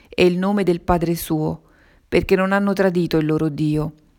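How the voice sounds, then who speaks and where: A woman's flat, monotone delivery in a very clean recording with a silent background. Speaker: reader of religious messages.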